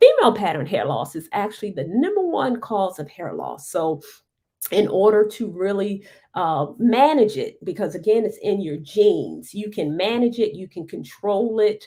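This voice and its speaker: Her voice dark and mellow, a woman talks at a moderate pace and medium pitch with lively intonation and big swings in loudness. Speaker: hair care educator. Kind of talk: live stream Q&A. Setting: live stream.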